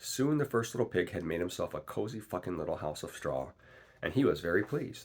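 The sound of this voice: The clip carries an unforced reading voice.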